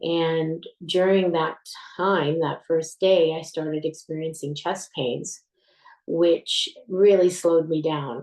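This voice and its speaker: Speaking very slowly with a Canadian accent, a woman uses a fairly low voice. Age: 60s. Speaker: retired military veteran, heart patient. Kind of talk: personal testimony.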